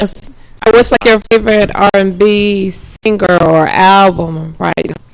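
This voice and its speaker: Using an unremarkable speaking voice, a woman of medium pitch speaks at a fairly slow pace with fairly even intonation. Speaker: radio host. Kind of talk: radio interview.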